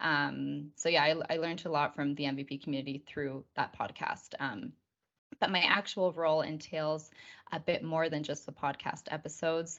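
A woman's very deep, low-pitched voice at a moderate pace, with fairly even intonation. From Canada, Victoria BC, with time in Argentina. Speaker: community marketing specialist. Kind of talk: podcast interview.

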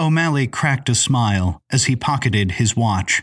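This is plain reading aloud with a lively, bouncing intonation.

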